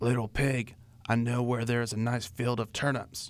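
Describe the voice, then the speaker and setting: A man puts on a character voice at a medium pitch. He speaks at a moderate pace in a monotone, flat intonation. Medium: read story. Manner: sly.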